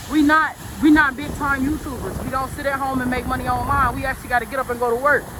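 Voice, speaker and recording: A woman speaks loudly and very fast in a high voice with flat, monotone intonation, amid room echo and noticeable background noise. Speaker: vlogger. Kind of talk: casual vlog monologue. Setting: outdoors on a park walk.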